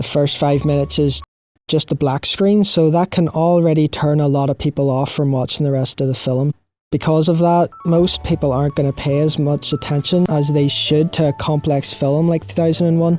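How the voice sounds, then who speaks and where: Speech at a moderate pace is accompanied by music in the background. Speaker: film video essayist. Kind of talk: video essay narration. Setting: recording under bed sheets. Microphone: poor home recording, no proper setup.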